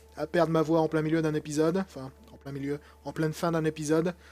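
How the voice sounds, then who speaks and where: Over music in the background, a man speaks at a fairly quick pace and a fairly high pitch, his intonation monotone and flat. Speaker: gaming YouTuber. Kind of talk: let's play commentary. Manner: casual, hesitant with many fillers.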